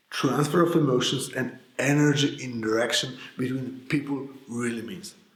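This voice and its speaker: Audible room echo surrounds a man speaking at medium pitch and a moderate pace with a Polish accent. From Poland. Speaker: sales coach. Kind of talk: scripted narration.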